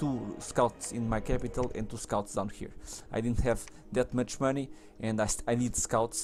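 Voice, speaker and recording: Against background music, a man speaks at a moderate pace with fairly even intonation. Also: medium pitch for a man. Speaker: video game let's player. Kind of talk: gameplay commentary. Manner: halting, many self-corrections.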